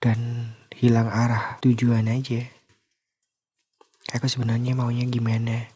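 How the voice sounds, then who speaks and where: Speaking at a very slow pace, a man has a medium pitch and a calm tone. His voice is somewhat breathy, with a dark, mellow tone. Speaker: sleep call / ASMR content creator. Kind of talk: casual sleep call talk, confessional voice message. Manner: calm, intimate, conversational.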